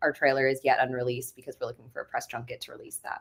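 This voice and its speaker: A woman's very deep, low voice in a Midwestern US accent, with lively intonation. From rural Ohio. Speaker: filmmaker. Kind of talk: casual interview.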